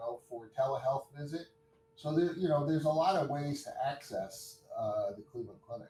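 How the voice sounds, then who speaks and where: Against music in the background, a man speaks fairly high in pitch at a moderate pace, with ordinary pitch variation and big swings in loudness. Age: 60s. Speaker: hospital chief of staff and orthopedic surgeon. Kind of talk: interview.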